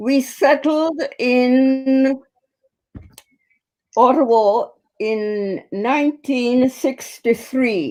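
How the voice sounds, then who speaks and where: A very slow pace with long, frequent pauses and ordinary pitch variation. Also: woman, high pitch for a woman. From Jamaica. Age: 90s. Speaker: community elder and organization president. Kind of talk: interview. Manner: formal.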